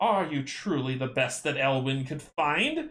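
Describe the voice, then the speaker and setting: A put-on character voice is delivered at a fairly slow pace. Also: man, fairly high pitch for a man. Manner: terrifying, disdainful.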